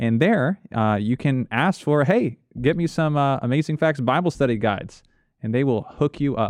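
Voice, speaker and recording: Speaking in a plain, everyday voice at a moderate pace, a man with a fairly high pitch uses lively intonation and very even loudness over a quiet background. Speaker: pastor, co-host. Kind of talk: call-in Bible Q&A radio show.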